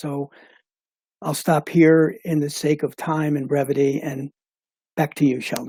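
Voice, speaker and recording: A man's fairly high pitch with a dark, mellow tone, fairly even intonation and a dry, close sound with no echo. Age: 70s. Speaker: retired engineer and board chairman. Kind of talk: panel discussion.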